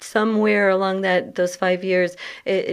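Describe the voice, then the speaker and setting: Against a quiet background, a woman with an American accent speaks at a moderate pace with fairly even intonation. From Massachusetts, US. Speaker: charity CEO. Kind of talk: interview.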